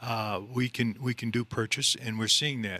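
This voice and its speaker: With a slight upstate New York accent, a man talks in a bright, sharp tone and fairly even intonation, the sound dry, close and free of echo. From upstate New York (Central New York). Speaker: mortgage loan officer. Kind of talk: radio interview.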